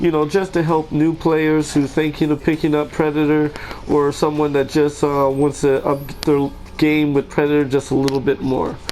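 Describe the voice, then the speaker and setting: A man at fairly high pitch and moderate pace, with monotone, flat intonation and noticeable background noise. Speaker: gaming tutorial creator. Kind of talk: game tutorial commentary. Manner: casual, hesitant with fillers.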